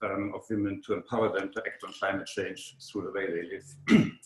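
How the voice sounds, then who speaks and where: A man with a German accent speaks at a fairly quick pace. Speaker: webinar moderator. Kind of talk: speaker introduction. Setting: online webinar. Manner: halting, many fillers.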